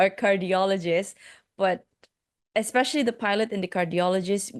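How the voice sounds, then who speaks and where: In a Malaysian accent, a woman speaks over a quiet background. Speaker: life coach and podcast host. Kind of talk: interview.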